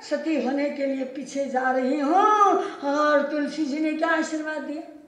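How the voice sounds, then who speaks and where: Audible room echo surrounds a woman as she talks. Her pitch is high. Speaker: religious teacher. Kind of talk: sermon storytelling. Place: hall.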